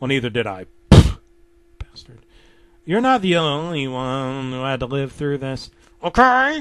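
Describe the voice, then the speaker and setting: A man puts on a character voice, speaking fairly slowly at a medium pitch. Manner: bitter, resentful.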